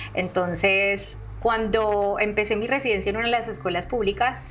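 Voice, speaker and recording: A woman talks with a Colombian accent. Music plays in the background. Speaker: artist and art educator. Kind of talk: podcast interview answer.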